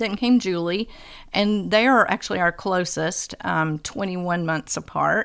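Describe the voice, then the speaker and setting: A woman speaks in a plain, everyday voice at a medium pitch with ordinary pitch variation and a fairly slow pace. The recording is very clean, with a silent background. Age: 60s. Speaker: homeschooling mother of eight. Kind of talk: casual chat.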